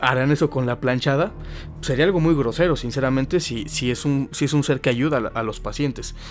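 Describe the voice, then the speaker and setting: A man with a Mexican accent talks at a fairly quick pace and a fairly high pitch, with ordinary pitch variation. Music plays in the background. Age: 20s. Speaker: podcast host. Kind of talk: casual chat.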